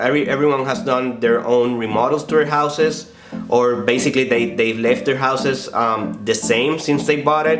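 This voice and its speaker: A man with a Spanish accent and ordinary pitch variation, amid noticeable background noise and audible room echo. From Puerto Rico. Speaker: real estate agent. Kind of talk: informal vlog explainer. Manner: halting, many fillers and restarts.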